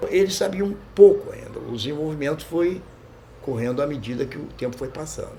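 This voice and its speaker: There is noticeable background noise and audible room echo. A man is speaking. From Brazil, Rio de Janeiro south zone. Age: 70s. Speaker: martial arts fighter and coach. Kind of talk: interview.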